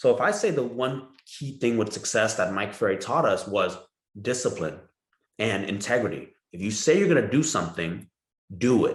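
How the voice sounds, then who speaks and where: Somewhat breathy and medium in pitch, a man talks at a moderate pace with very wide pitch swings. Audible room echo surrounds his voice. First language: Vietnamese. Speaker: real estate broker. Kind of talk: podcast interview. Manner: talkative.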